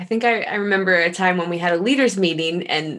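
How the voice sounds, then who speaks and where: A woman speaks in a plain, everyday voice. Her pitch sits fairly low. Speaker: pastor. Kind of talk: interview co-host, conversational. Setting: video call.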